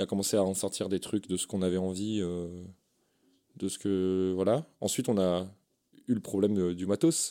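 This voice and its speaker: Here a man speaks with a very deep, low pitch and a dark, mellow tone. He leaves long, frequent pauses, and the recording is very clean with a silent background. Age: 20s. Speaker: podcast sound engineer and architect. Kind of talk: casual chat.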